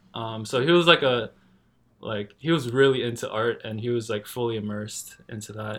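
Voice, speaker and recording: With a Canadian accent, a man speaks in a plain, everyday voice at medium pitch, moving at a moderate pace with ordinary pitch variation. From Canada. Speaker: tattoo artist. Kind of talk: casual chat. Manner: casual, relaxed.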